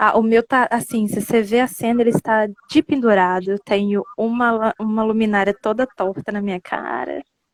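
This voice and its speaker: A soft-spoken voice moves at a moderate pace with hardly any pauses. The sound is dry and close with no echo, and the intonation stays fairly even. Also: woman, fairly high pitch for a woman. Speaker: live stream host. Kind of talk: casual chat. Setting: live video call.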